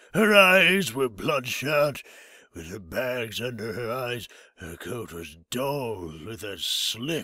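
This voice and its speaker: Using a put-on character voice, a man speaks fairly slowly at medium pitch, raspy and with very wide pitch swings. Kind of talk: comic overacting. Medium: read story. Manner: cranky, slow.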